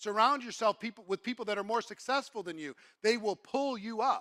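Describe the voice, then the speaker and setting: A man speaks in a raised, projected voice at a high pitch, with a bright, sharp tone and an animated delivery. His pace is fairly quick with ordinary pitch variation, and the very clean recording is dry and close, with no echo and a silent background. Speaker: network marketing speaker. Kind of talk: motivational talk.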